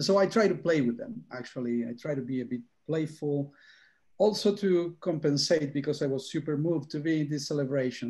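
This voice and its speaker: A man's somewhat breathy, dark, mellow tone at a fairly high pitch, with ordinary pitch variation, moderate pace and a quiet background. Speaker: academic speaker. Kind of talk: panel Q&A answer. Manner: halting.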